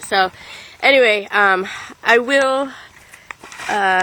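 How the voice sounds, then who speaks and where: Against noticeable background noise, a woman talks with ordinary pitch variation. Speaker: tarot card reader. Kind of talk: casual vlog. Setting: outdoors in her yard. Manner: halting.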